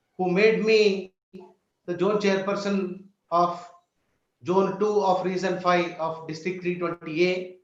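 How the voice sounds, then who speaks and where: Amid audible room echo, a man with a high pitch speaks fairly slowly in a monotone, flat way, with long, frequent pauses. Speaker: hospital founder and social worker. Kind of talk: speech.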